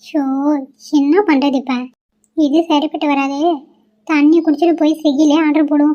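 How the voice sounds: A woman's high-pitched cartoonish character voice, flat and monotone, at a moderate pace.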